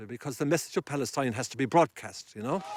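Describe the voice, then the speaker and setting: A man with an Irish accent and ordinary pitch variation, in a very clean recording with a silent background and a dry, close sound with no echo. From Ireland. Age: 60s. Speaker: activist. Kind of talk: interview. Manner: halting.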